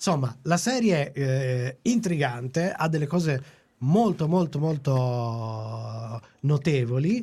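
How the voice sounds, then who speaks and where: Somewhat breathy and dark, mellow in tone, this man speaks at a fairly high pitch. His intonation is lively, and his pace is very slow. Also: very even loudness. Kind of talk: casual chat.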